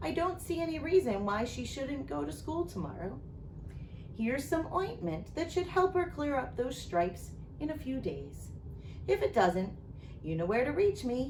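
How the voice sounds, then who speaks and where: A woman's put-on character voice, mumbling at a moderate pace amid loud background noise. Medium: read story. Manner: fussy, mumbling.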